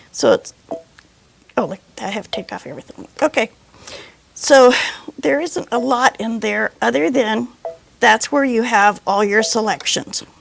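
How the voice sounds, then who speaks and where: Amid noticeable background noise, a woman with a fairly high pitch and lively intonation speaks at a fairly slow pace. Her loudness swings widely, and she takes long, frequent pauses. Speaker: sewing machine instructor. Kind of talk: tutorial.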